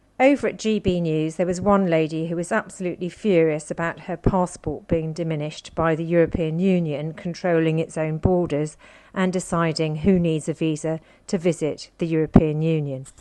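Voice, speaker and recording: A woman's dark, mellow voice, fairly low in pitch, with a British accent, fairly even intonation and a moderate pace. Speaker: political commentator. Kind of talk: political commentary.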